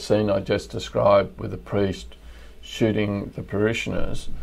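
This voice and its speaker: In an Australian accent, the speaker talks at a fairly slow pace. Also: man. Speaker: crime novelist. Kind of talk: casual interview. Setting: remote call.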